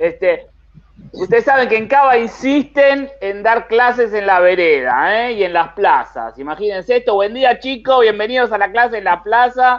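A man talks at a moderate pace in an extremely high pitch, with ordinary pitch variation. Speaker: comedian. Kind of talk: comedy segment.

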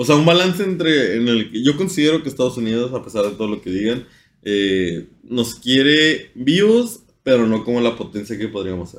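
This man talks at a moderate pace with medium pitch, lively intonation and big swings in loudness. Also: very clean recording, silent background. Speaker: podcast host. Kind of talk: casual chat. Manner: informal.

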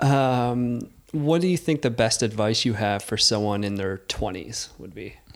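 In a plain, everyday voice at medium pitch, a man speaks at a fairly slow pace with lively intonation and big swings in loudness. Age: 30s. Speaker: podcast host. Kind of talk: casual chat.

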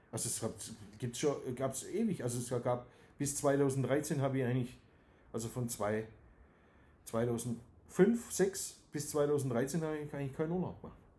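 A man's somewhat breathy, dark and mellow voice in a Swabian accent, with long, frequent pauses. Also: medium pitch for a man, ordinary pitch variation, moderate pace. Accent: Swabian dialect, moderate. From Swabia, Germany (Dusslingen near Tübingen). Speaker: company managing director. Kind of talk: interview. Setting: at his company premises.

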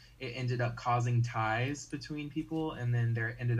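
Audible room echo surrounds a man with an American accent, speaking at a medium pitch and a moderate pace. His voice is somewhat breathy, with fairly even intonation. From US South, North Carolina. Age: 18. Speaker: game production member. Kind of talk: casual chat.

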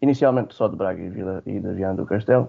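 A man talks at a fairly quick pace in a normal speaking voice. His pitch is fairly low, with ordinary variation. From Alentejo, Portugal (Alcácer do Sal). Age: 20s. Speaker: IT trainer for blind people. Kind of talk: radio interview.

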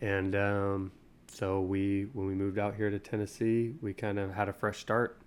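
A man at a moderate pace, fairly low in pitch, in a flat monotone. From Utah. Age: 30s. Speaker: podcast co-host. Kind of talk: casual chat.

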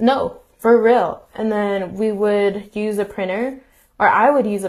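A woman with an unremarkable speaking voice, medium pitch, fairly even intonation and a fairly slow pace, against a quiet background. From US, Mexican American. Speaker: podcast co-host. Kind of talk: casual chat.

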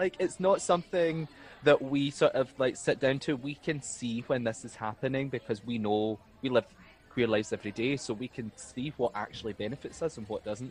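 A man in a west of Scotland accent, medium in pitch, at a fairly quick pace with ordinary pitch variation. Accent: Scottish (west of Scotland). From Scotland, East Ayrshire. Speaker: drag performer and law graduate. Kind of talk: casual chat.

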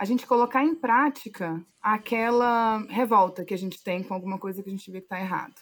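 A woman has a normal speaking voice, fairly high in pitch with ordinary pitch variation. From Brasília, Brazil. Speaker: activist and communicator. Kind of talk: interview.

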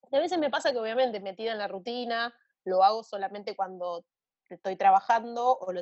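In a Rioplatense accent, a woman speaks at a moderate pace with ordinary pitch variation. The sound is dry and close, with no echo. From Argentina. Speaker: singer-songwriter. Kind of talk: casual interview chat.

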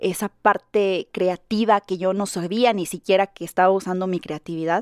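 Recorded very cleanly against a silent background, with a dry, close sound and no echo, a woman with an unremarkable speaking voice talks at medium pitch and a moderate pace. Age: 30s. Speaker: content creator and podcast host. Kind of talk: casual monologue. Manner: rambling, with many fillers.

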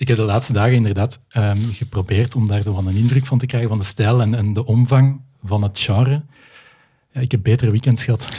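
A man with a medium-pitched, dark, mellow and somewhat breathy voice talks at a fairly quick pace with fairly even intonation. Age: 40s. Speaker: podcast host. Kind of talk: casual conversation.

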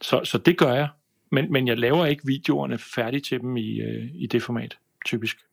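With vocal fry, a man speaks at a medium pitch and moderate pace, his pitch varying in an ordinary way. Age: 50s. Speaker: video production business owner. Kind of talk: casual chat. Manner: halting, many fillers and repeats.

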